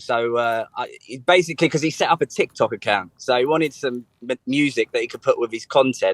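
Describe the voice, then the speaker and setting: A man speaks with a strong English accent at a moderate pace. The sound is dry and close, with no echo. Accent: strong local English accent, as he notes. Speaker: singer-songwriter. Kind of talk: radio interview.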